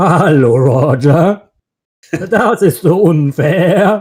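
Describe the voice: A man's put-on character voice, high in pitch for a man, at a very slow pace.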